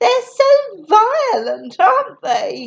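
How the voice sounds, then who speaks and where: A woman performs a put-on character voice that is shrill and squeaky, pitched extremely high. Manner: snobby, condescending.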